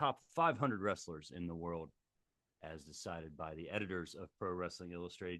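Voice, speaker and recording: An American-accented man speaks at a fairly quick pace. His voice is very deep and low. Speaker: pro wrestling ring announcer. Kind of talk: casual talk to camera.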